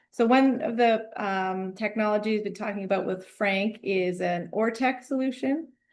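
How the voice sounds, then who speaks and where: Hardly any pauses break the flow as a woman with an ordinary speaking voice talks at a fairly high pitch with ordinary pitch variation. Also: moderate pace. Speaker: mechanical engineer. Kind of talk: technical presentation.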